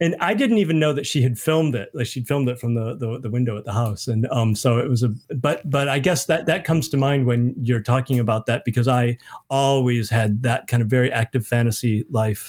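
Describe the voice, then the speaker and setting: With an American accent, a man speaks at medium pitch with ordinary pitch variation. His voice is somewhat breathy. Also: fairly quick pace. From US Midwest (Michigan). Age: 50s. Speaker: author. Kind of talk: casual chat. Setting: video call.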